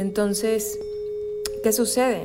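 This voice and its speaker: A woman talks at a fairly slow pace, her voice carrying audible room echo amid noticeable background noise. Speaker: spiritual wellness podcaster. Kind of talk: solo podcast monologue. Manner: stutters at times.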